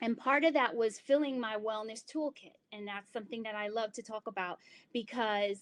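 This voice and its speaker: A woman with an American accent has an ordinary speaking voice. Her pitch is fairly high with ordinary pitch variation. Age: 30s. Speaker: yoga instructor and wellness presenter. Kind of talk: online presentation. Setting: live online presentation with chat.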